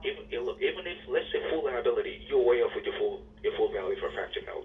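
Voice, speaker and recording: Noticeable background noise sits behind speech delivered very rapidly. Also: man. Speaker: insurance claims examiner. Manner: agitated.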